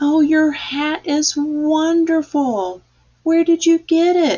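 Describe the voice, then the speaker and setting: A put-on character voice at a very slow pace. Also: woman, extremely high pitch for a woman. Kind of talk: bedtime story. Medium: read story.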